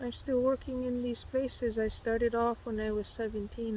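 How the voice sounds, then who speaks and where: A woman's somewhat breathy voice, dark and mellow in tone, with monotone, flat intonation. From northern Manitoba, First Nations community. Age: 50s. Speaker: nurse practitioner. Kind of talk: personal testimony to camera. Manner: conversational, with frequent fillers and repetitions.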